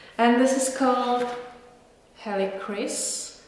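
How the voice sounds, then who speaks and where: Very slowly, a woman talks amid noticeable background noise and audible echo from the room. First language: not English or French. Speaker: perfume reviewer. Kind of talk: casual product review. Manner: relaxed, unscripted.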